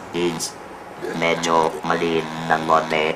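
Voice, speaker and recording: Very deep, low-pitched male speech, monotone and flat, with music playing in the background. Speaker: laryngectomee, former radio announcer. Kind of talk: interview answer.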